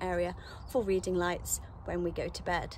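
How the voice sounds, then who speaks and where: A woman talks at a moderate pace over light background noise, the sound dry with no echo. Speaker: vanlife vlogger. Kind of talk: casual vlog chat. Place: open country. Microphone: phone near.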